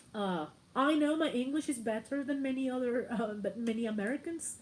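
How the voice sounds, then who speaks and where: A woman speaks at a moderate pace in a high voice. Her intonation is lively. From Mexico, Morelia. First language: Spanish. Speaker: YouTuber. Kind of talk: casual livestream chat.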